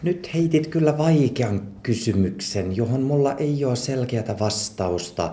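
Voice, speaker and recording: A man with a Swedish accent, medium-pitched, somewhat breathy and dark and mellow in tone, at a very slow pace with lively intonation and audible room echo. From Swedish-speaking Ostrobothnia, Finland (Pedersöre). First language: Swedish (speaking Finnish). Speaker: physician. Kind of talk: interview. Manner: halting, many fillers.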